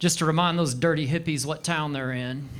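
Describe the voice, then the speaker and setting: A man with a Southern US accent at a fairly quick pace. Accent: Southern American. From Arkansas, USA. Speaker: stand-up comedian. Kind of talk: live stand-up comedy set. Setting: comedy club stage. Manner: dry.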